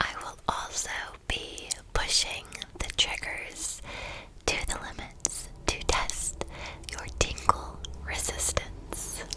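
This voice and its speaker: The speech is a whisper, very slow, broken by long, frequent pauses. Background noise is noticeable too. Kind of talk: soft-spoken ASMR Bible reading and trigger demonstration. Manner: soft-spoken, relaxed.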